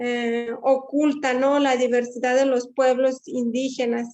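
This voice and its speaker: A woman's high-pitched voice in a western Mexican accent, with monotone, flat intonation, a very slow pace and a quiet background. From Wixárika community, Jalisco region, Mexico. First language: Wixárika (speaking Spanish). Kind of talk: panel discussion. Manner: halting, many fillers.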